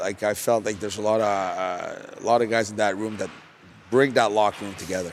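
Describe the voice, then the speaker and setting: Against noticeable background noise, a man with a Quebec accent speaks at a fairly low pitch in a monotone, flat intonation. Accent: French-Canadian accent in English. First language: French. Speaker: junior hockey head coach, former pro player. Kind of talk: podcast interview. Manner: hesitant, many fillers and repetitions.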